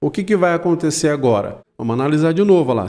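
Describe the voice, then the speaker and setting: The tone is dark and mellow, the intonation lively, and the recording very clean with a silent background. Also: man. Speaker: audio engineer teaching a mixer course. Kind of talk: tutorial. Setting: studio, live stream. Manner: speaks very softly in parts to demo the gate.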